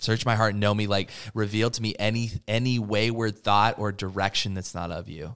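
A man with an American accent talks at a fairly quick pace and fairly low pitch, in a monotone, flat intonation. The recording is very clean, with a silent background. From Oregon, US. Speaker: student pastor. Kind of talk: casual chat.

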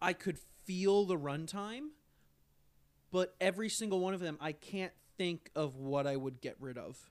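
A high-pitched man talks at a moderate pace with lively intonation. Long, frequent pauses break up his speech. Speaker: podcast co-host. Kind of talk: casual chat.

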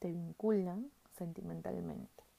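Speaking at a fairly slow pace, a woman uses a medium-pitched voice with a dark, mellow tone. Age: 20s. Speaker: podcast host. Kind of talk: casual monologue.

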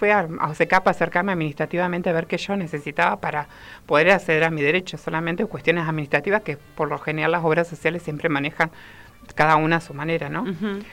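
Fairly low in pitch with ordinary pitch variation, the woman has a plain, everyday voice. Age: 30s. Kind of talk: interview.

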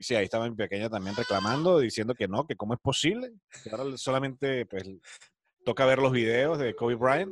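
A man speaks in a normal speaking voice at a medium pitch and a fairly quick pace. His pitch variation is ordinary, and the sound is dry and close with no echo. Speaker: sports podcast host. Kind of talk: casual sports talk.

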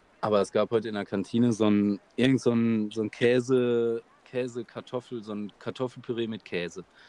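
A man talks at a moderate pace and a medium pitch with monotone, flat intonation. The sound is dry and close, with no echo. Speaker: podcast co-host. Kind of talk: casual chat.

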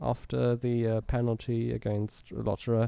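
A man with a German accent speaks in a dark, mellow tone. The sound is dry and close with no echo, a very clean recording with a silent background. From Germany. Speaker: motorsport journalist. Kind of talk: casual chat.

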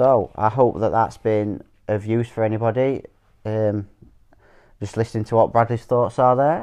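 A man with a dark, mellow tone speaks at medium pitch and a moderate pace, against a quiet background. His intonation is fairly even, broken by long, frequent pauses. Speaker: podcast host, father. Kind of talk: casual father-son chat.

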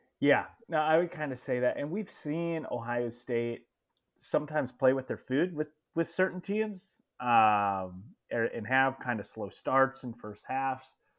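Here a man talks at a fairly slow pace in an ordinary speaking voice. His pitch is medium and his intonation lively. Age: 20s. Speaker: college football podcast co-host. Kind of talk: casual sports chat.

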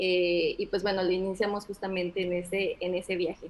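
A woman with an ordinary speaking voice talks at a medium pitch. Her pace is moderate. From Mexico, Orizaba (Veracruz). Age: 30s. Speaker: business consultant. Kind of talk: casual interview.

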